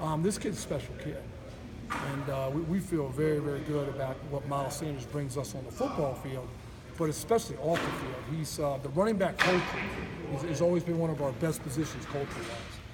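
Over loud background noise, a man with a fairly high pitch talks at a fairly quick pace with ordinary pitch variation. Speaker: college football strength coach. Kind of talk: media interview. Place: gym.

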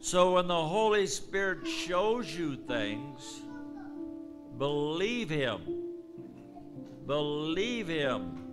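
A man talks at a very slow pace while clear music sounds in the background. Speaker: preacher giving a prophecy. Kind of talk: prophetic preaching. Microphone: handheld.

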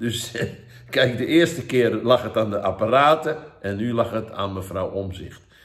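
Against a quiet background, a man talks at a moderate pace in a somewhat breathy voice. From Netherlands. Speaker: evangelist. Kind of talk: sermon. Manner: halting. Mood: earnest, urging. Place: home room. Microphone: phone near.

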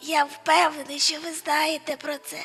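A woman's raspy, put-on character voice at a moderate pace, with faint music in the background. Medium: fan dub.

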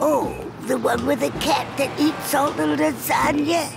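A woman speaks in a cartoonish character voice, high-pitched and edged with vocal fry. Her fairly even delivery moves at a fairly slow pace over clear background music.

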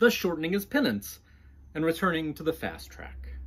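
A fairly high pitch marks this man's voice. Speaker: author. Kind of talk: audiobook-style fiction reading. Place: home room.

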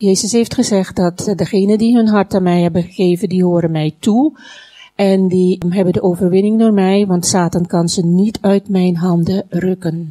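At a moderate pace, a woman with a dark, mellow tone and medium pitch speaks with fairly even intonation and very even loudness. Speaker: Dutch interpreter. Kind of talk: consecutive interpreting of a sermon into Dutch. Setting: church.

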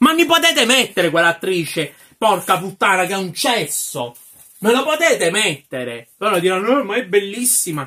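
In a raised, projected voice, a man speaks at a high pitch and a fairly quick pace, his pitch swinging very widely. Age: 20s. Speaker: film reviewer. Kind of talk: ranting film review. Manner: animated. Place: home room. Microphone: phone near.

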